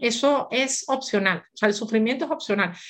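A woman talks with an ordinary speaking voice at a fairly high pitch. Her pace is moderate and her intonation lively. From Venezuela. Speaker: gynecologist and author. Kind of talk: interview conversation.

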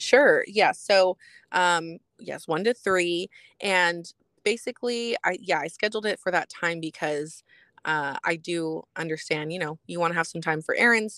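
Using a normal speaking voice with an American accent, a woman talks at a fairly slow pace and a fairly low pitch with ordinary pitch variation, in a dry, close sound with no echo on a very clean recording with a silent background. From Texas, San Antonio. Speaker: life coach. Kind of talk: interview.

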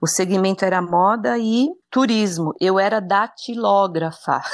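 In a very clean recording with a silent background, a woman at medium pitch speaks very slowly, with very even loudness and ordinary pitch variation. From Brazil, São Paulo (early years in Brasília). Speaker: journalist. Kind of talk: interview conversation.

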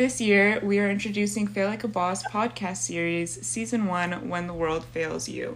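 Noticeable background noise beneath very wide swings in pitch. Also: woman. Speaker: student podcast host. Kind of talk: interview; scripted intro.

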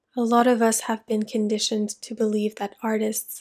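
A normal speaking voice from a woman, fairly high in pitch, on a very clean recording with a silent background. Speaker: meditation guide and creative coach. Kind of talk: guided meditation. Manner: slow, soft-spoken, soothing; gentle, calm, with long pauses.

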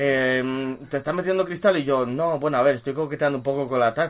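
Noticeable background noise sits under a man talking in an animated tone. He goes at a very fast pace with ordinary pitch variation. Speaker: podcast co-host. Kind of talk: casual chat.

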